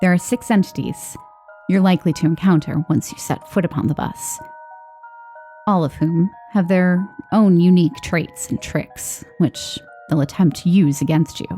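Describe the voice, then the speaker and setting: Music plays in the background. A woman speaks at a moderate pace with a fairly low pitch. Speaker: horror story narrator. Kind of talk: horror story narration.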